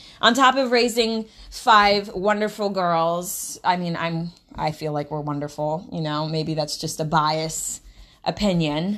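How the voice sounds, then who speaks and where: An animated, fairly slow delivery with lively intonation and an American accent, over a quiet background. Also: woman, fairly low pitch for a woman. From US Midwest. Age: 20s. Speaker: podcast host and college student. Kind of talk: casual monologue.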